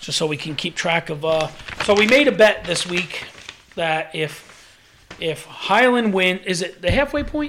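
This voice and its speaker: Amid noticeable background noise, a man speaks at a fairly slow pace in a high pitch, his intonation lively. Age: 40s. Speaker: podcast co-host. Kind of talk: casual chat.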